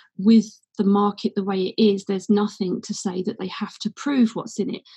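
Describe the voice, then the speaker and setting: A woman speaks with an English accent at a fairly quick pace. Her intonation is monotone and flat, and her voice is somewhat breathy. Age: 30s. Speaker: CBD company co-founder. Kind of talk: casual interview.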